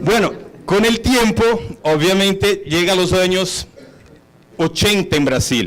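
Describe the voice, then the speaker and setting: A man talks at a high pitch with ordinary pitch variation and a moderate pace. Audible room echo surrounds his voice. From Brazil, São Paulo. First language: Portuguese (speaking Spanish). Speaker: hotel executive. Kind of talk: conference talk.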